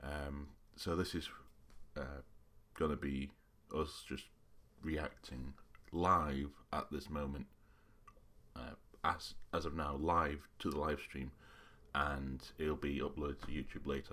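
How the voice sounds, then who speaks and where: Long, frequent pauses break up this man's fairly slow, monotone, flat delivery, his very deep, low pitch edged with vocal fry and a bright, sharp tone. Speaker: YouTuber. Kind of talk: live reaction commentary. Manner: halting.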